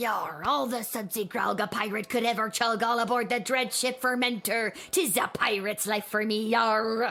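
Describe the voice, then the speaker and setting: A female-sounding put-on character voice, fairly high in pitch, runs at a moderate pace with hardly any pauses. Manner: annoying, exaggerated.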